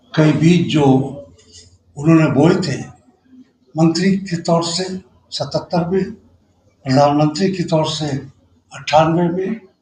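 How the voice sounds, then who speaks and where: A man speaks with a high pitch, a dark, mellow tone, and fairly even intonation. His speech has long, frequent pauses. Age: 70s. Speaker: political commentator. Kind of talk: panel discussion.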